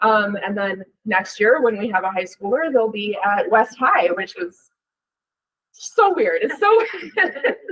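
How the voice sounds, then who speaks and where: Her pitch leaps and dives across a very wide range. The woman talks at a fairly slow pace. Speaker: school after-school program coordinator. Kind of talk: presentation to club meeting. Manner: projecting.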